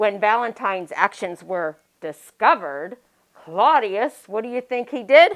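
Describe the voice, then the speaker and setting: A woman speaks at a fairly slow pace in an animated tone, her pitch fairly high. Her pitch swings very widely, and her loudness shifts in big swings. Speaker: children's librarian. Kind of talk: casual chat. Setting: library.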